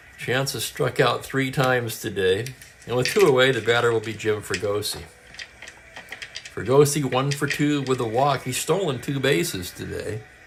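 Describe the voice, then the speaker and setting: With noticeable background noise, a man speaks at a moderate pace and medium pitch. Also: ordinary pitch variation. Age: 60s. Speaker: tabletop baseball game streamer. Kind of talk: live play-by-play commentary of a tabletop baseball game; casual chat with live stream viewers.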